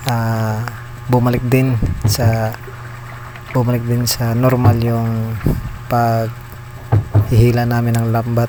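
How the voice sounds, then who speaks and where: A soft-spoken man talks at a very slow pace with long, frequent pauses and a monotone, flat intonation. Noticeable background noise and audible room echo run through the recording. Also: medium pitch for a man. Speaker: vlogger from fishing family. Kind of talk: vlog voice-over. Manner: soft-spoken, lowered voice.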